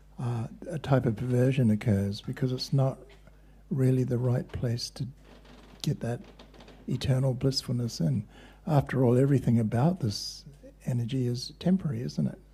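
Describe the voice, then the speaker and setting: A man with a medium-pitched, dark, mellow tone speaks at a moderate pace, somewhat breathy, with ordinary pitch variation. He leaves long, frequent pauses. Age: 70s. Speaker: kirtan and yoga teacher. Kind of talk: spiritual talk.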